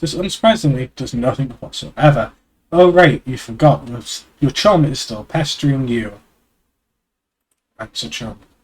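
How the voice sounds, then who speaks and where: Pausing long and often at a moderate pace, a man with a fairly high pitch uses lively intonation and big swings in loudness. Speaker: streamer. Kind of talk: reading aloud. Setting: live stream.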